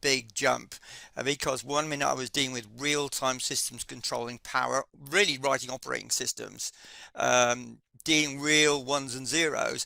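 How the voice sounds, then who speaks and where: Fairly even intonation from a man with a British accent, medium in pitch and bright, sharp in tone, dry and close with no echo. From UK. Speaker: project management instructor. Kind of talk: casual chat. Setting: live webinar. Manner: hesitant, many fillers.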